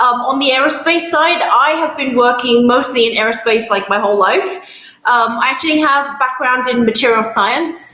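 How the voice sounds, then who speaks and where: In a London accent, a woman with a high pitch projects a raised voice at a moderate pace, with ordinary pitch variation and very even loudness, while audible room echo and noticeable background noise fill the recording. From London, England. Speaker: aerospace engineer and industry manager. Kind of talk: self-introduction at online networking event.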